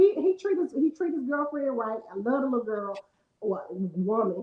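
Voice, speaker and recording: A woman speaks loudly at a high pitch. Her pitch swings very widely at a moderate pace. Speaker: podcast co-host. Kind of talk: casual chat.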